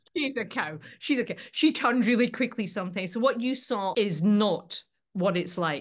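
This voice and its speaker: The background stays quiet. In it, an unremarkable speaking voice goes at a moderate pace, its intonation lively. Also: woman. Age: 50s. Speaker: actor and reality show contestant. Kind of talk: casual interview.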